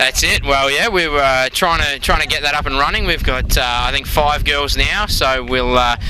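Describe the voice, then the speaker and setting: With an Australian accent, a man speaks at a moderate pace with very even loudness and hardly any pauses while noticeable background noise runs underneath. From Australia, Melbourne. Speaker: amateur football club president. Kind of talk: interview. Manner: hesitant, many fillers.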